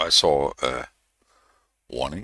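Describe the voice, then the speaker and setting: A man speaking in a non-native accent. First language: not English. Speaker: programming tutorial youtuber. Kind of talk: tutorial. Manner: hesitant, many fillers.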